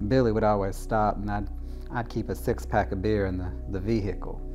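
A man talks at a fairly quick pace. Music plays clearly behind him. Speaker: interviewee. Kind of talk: interview answer. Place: home room. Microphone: lapel.

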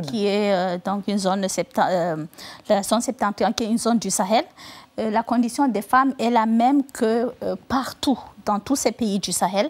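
Her pitch fairly high, a woman talks at a moderate pace with ordinary pitch variation. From Northern Cameroon. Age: 40s. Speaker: novelist. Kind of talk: TV interview answer. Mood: calm, earnest. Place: studio. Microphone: lapel.

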